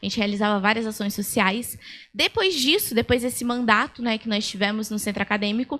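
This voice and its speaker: Fairly quick and fairly high-pitched, a woman's bright, sharp voice moves with ordinary pitch variation. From Brazil, São Paulo state (Itapira). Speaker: lawyer, speaker. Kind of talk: lecture. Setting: stage with audience.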